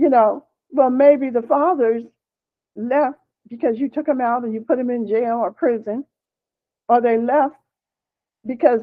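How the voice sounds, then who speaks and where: A woman's high voice with an American accent, fairly even intonation, a fairly slow pace, and long, frequent pauses. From Pennsylvania, US. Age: 70s. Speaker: activist and family historian. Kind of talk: casual chat.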